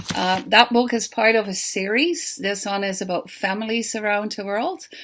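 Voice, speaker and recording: Noticeable background noise sits behind a woman with a Dutch accent and a fairly high pitch. She keeps a moderate pace and ordinary pitch variation. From Netherlands. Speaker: children's book author. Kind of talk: pre-recorded talk.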